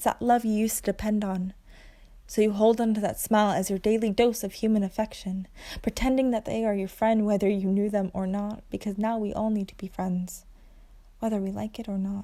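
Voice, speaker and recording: Speaking in an American accent, a woman uses a fairly high pitch and a dark, mellow tone, talking at a fairly quick pace with monotone, flat intonation. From Long Island, New York. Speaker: actor. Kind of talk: spoken word poetry. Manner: child-like, playful.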